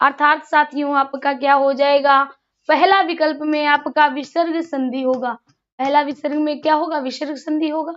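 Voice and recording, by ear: Her high-pitched voice has a fairly bright tone, and the woman talks at a moderate pace with fairly even intonation.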